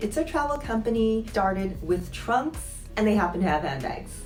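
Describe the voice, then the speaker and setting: Music sounds in the background while a woman talks. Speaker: former luxury retail employee. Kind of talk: casual talk to camera. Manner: quiet, low voice.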